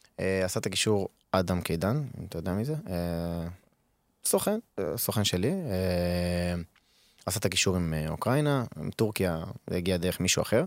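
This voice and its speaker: On a very clean recording with a silent background, a man with a very deep, low pitch and ordinary pitch variation speaks at a moderate pace, taking long, frequent pauses. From Israel, Arad. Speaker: professional footballer. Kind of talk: casual interview.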